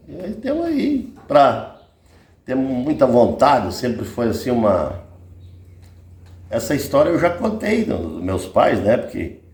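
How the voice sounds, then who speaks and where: Amid audible room echo, a man talks at a very slow pace with long, frequent pauses and big swings in loudness. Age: 60s. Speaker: rancher telling family stories. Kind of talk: casual interview.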